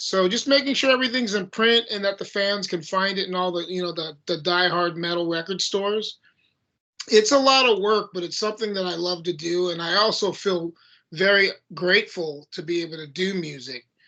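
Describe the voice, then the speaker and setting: Over a quiet background, a man with a high pitch uses a raised, projected voice at a fairly quick pace with ordinary pitch variation. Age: 60s. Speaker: heavy metal band vocalist. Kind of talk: casual interview. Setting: video call.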